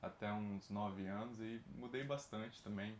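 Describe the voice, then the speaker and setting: A man speaks at a fairly slow pace. His voice sits fairly low, with ordinary pitch variation. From Brazil, Espírito Santo (Nova Venécia), later Rio de Janeiro. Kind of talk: casual chat.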